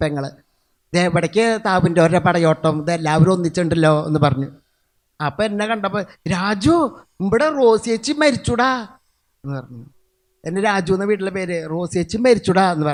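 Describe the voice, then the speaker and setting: A loud man with a high pitch speaks with lively intonation over a quiet background. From Kerala, Tirur (Malappuram). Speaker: lay preacher. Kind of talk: testimony sermon.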